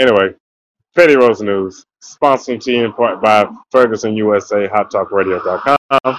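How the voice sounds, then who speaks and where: Speaking with ordinary pitch variation, a man has an ordinary speaking voice. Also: medium pitch for a man, moderate pace. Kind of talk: casual chat. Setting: radio show.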